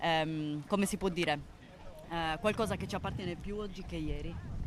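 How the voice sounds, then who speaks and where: At a moderate pace, a woman with a fairly low pitch speaks with fairly even intonation. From Sardinia, Villacidro (Medio Campidano). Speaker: activist, committee spokesperson. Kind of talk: live broadcast interview. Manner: halting, many fillers.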